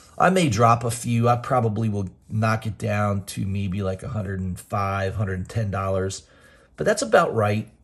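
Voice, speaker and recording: The voice is somewhat breathy, moving at a moderate pace with ordinary pitch variation. The recording is very clean with a silent background. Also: man. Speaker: comic book YouTuber. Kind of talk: casual video monologue. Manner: hesitant, filler words.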